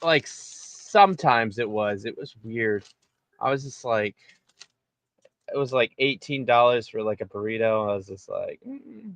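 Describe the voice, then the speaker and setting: A man with an American accent talks at a medium pitch and a moderate pace, with ordinary pitch variation. His loudness swings widely, and the sound is dry and close with no echo. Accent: Boston tinge heard occasionally. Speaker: guest, voice performer. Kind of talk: casual chat.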